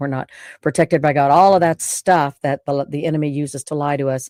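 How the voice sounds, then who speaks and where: Her very deep, low voice comes through dark and mellow in a monotone, flat delivery, recorded very cleanly against a silent background with a dry, close sound and no echo. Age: 60s. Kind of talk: personal testimony monologue. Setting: home studio. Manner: halting, many fillers and restarts.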